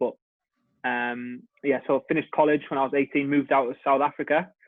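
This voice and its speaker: A man with a fairly high pitch talks very fast in a monotone, flat intonation. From northern England, Hartlepool. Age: 20s. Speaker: rugby player. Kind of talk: podcast interview. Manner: casual.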